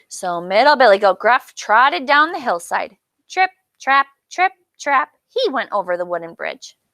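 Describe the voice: A quiet background behind plain reading aloud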